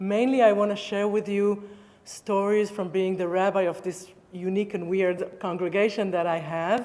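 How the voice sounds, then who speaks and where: A woman with an Israeli accent speaks at a moderate pace in a medium pitch, her intonation monotone and flat, over noticeable background noise. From Israel, Tel Aviv area. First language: Hebrew. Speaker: rabbi. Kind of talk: public talk. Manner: halting.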